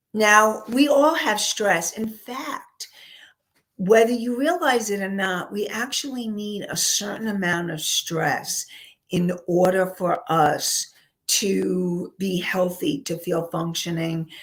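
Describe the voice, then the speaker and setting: A woman talks at a very slow pace in a New York accent. Her loudness swings widely. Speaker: counselor and life coach. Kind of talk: live webinar talk. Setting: live online show with chat room.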